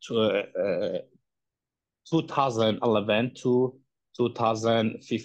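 This is a man speaking. He has an Iranian accent. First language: Persian. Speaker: human rights activist. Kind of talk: testimony. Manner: halting.

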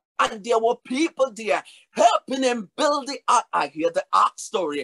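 A man speaks at a fairly slow pace in a raised, projected voice with an extremely high pitch and a bright, sharp, animated tone. His intonation is lively, and the background is quiet. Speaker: preacher. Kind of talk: sermon. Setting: virtual church service. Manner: animated, rhythmic preaching; urgent, earnest appeals to the congregation. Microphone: webcam.

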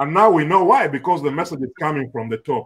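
This man speaks with lively intonation. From Uganda. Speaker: political panelist; panelist. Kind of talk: panel discussion. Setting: video call. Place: home room. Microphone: video call.

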